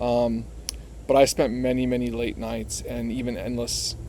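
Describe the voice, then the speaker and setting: With an American accent, a man talks at a moderate pace, and audible room echo surrounds his voice. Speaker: vlogger on living with bipolar disorder. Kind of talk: personal vlog monologue. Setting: outdoors. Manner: halting, many fillers and repetitions.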